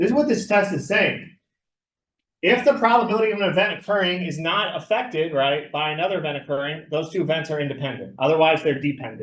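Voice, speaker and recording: A loud man talks at a fairly quick pace in a high voice. Room echo is audible around him. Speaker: math teacher. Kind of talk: lecture.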